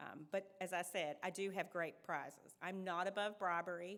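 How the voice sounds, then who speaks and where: A loud woman's voice, bright and sharp in tone, at medium pitch. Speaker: nonprofit membership recruitment director. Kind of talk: speech at a fundraising event.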